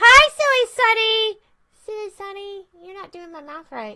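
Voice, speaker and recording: An extremely high, female-sounding put-on character voice at a moderate pace. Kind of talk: casual livestream chat.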